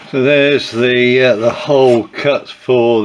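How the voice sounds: A man with a croaky voice at medium pitch. His intonation stays fairly even.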